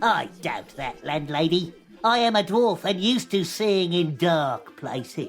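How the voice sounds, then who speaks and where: Over music in the background, someone does a put-on character voice at middle pitch. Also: fairly slow pace. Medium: audio drama. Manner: formal, short-tempered.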